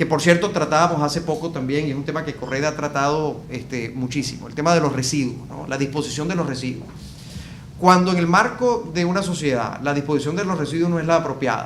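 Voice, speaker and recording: A man with a Venezuelan accent talks very fast at a fairly high pitch with ordinary pitch variation. Audible room echo and noticeable background noise surround him. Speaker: event coordinator. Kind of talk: interview. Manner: hesitant, many fillers.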